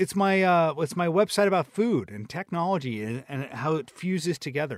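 A man with a high pitch uses lively intonation and hardly any pauses. The recording is very clean with a silent background, and the sound is dry and close with no echo. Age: 40s. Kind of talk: casual chat. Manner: fast talker, mumbles.

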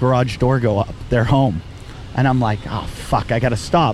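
Noticeable background noise sits behind a man with a medium pitch who keeps fairly even intonation at a moderate pace. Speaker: comedian and podcast host. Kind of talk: casual chat. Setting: outdoors on a beach.

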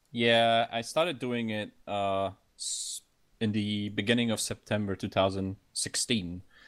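A man's fairly low pitch with fairly even intonation at a fairly slow pace, in a very clean recording with a silent background. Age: 20s. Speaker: gamer and streamer. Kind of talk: casual interview.

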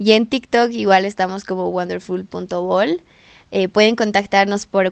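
A woman with a plain, everyday voice, medium pitch and fairly slow pace, over a quiet background. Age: 20s. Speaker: student entrepreneur. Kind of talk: podcast interview.

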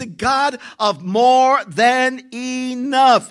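A man speaks at an extremely high pitch in an animated tone. The recording is very clean with a silent background. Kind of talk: sermon, preacher in full flow. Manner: animated, rhythmic and emphatic, with repeated phrases and call-and-response; fervent, declarative, building repetition of key lines.

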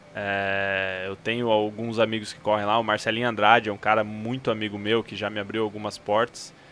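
A man with a fairly low pitch speaks with hardly any pauses and big swings in loudness. His intonation is monotone and flat. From Paraná, Brazil. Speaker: motorsport photographer. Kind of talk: casual chat, podcast interview.

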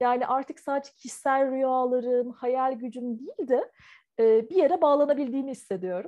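A dark, mellow tone moves at a moderate pace over a quiet background. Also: woman. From Turkey (Ankara), part of childhood in Taiwan. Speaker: visual artist. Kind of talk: interview. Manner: hesitant, many fillers.

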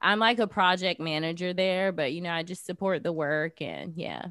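A woman with an American accent speaks in a normal speaking voice. Her pitch is fairly low, with ordinary pitch variation. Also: very clean recording, silent background. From US South, Jacksonville, Florida. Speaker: artist, activist and podcast host. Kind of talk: casual interview chat. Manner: casual, many fillers like 'like' and 'um'.

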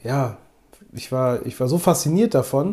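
The speaker is a man going at a moderate pace. His tone is dark and mellow. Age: 20s. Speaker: photography podcast co-host. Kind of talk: casual chat.

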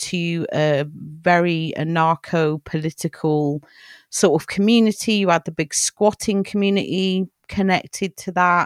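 In a southern English accent, a woman speaks at a fairly slow pace with ordinary pitch variation, her voice dry and close with no echo in a very clean recording with a silent background. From England, Cheltenham. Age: 40s. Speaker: podcast co-host and film writer. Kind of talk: casual chat.

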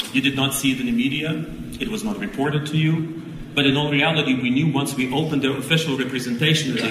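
A man with a fairly high pitch and ordinary pitch variation speaks over noticeable background noise, with audible room echo. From Ukraine. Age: 50s. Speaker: Orthodox archbishop. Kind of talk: award acceptance speech.

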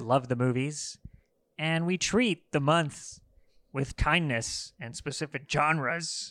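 In a very clean recording with a silent background, a man with an American accent speaks slowly-ish, at a fairly slow pace, in a plain, everyday voice. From Los Angeles, US. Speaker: film podcast co-host. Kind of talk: casual chat.

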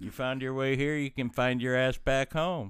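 In a very clean recording with a silent background, a man with a medium pitch speaks at a moderate pace in an ordinary speaking voice. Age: 50s. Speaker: podcast guest, host's father. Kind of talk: casual chat.

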